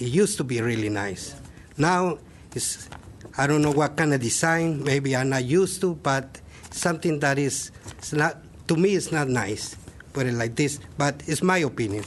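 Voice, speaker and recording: A non-native accent at a moderate pace, with ordinary pitch variation. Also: man, fairly high pitch for a man. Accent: non-native English speaker. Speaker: public commenter at city meeting. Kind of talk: public comment at planning meeting. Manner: halting.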